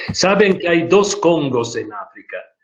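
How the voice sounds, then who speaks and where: Very slowly, a man speaks with a non-native accent, his somewhat breathy voice carrying lively intonation. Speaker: speaker on social issues. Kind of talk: online group meeting talk.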